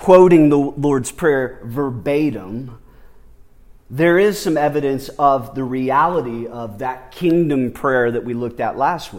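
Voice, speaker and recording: A man's plain, everyday voice, fairly high in pitch, with lively intonation at a fairly slow pace. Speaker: preacher. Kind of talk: sermon. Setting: church. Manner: earnest, pleading, fervent prayer tone.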